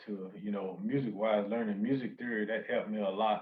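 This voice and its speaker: At medium pitch and with fairly even intonation, a man speaks in an American accent. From North Carolina. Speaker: music producer. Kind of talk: interview. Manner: hesitant, many fillers.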